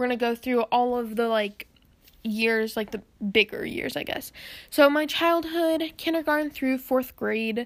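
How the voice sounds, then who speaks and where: Her voice sits high for a woman, and she talks at a fairly slow pace. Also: ordinary pitch variation. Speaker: podcast host. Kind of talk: casual monologue. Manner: hesitant, many filler words.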